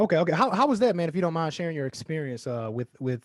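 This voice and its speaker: In an American accent, a man speaks with lively intonation in a dry, close sound with no echo. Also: quiet background. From Alabama, US South. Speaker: podcast host. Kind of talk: casual interview.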